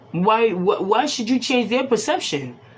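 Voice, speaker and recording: A woman is speaking here. Her pitch swings very widely. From Boston, Massachusetts, Haitian family. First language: Haitian Creole. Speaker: tarot reader. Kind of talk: casual talk to camera.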